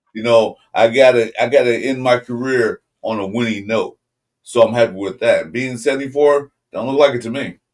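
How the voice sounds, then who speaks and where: A man's ordinary speaking voice at a medium pitch and moderate pace, with fairly even intonation and big swings in loudness. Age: 60s. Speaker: sports podcast co-host. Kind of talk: casual sports debate.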